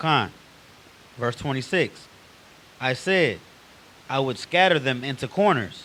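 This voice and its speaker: Against noticeable background noise, a man talks at a fairly slow pace and medium pitch with ordinary pitch variation. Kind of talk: reading scripture aloud in a class.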